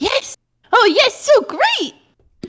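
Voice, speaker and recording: An extremely high, squeaky put-on character voice. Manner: excited, delighted.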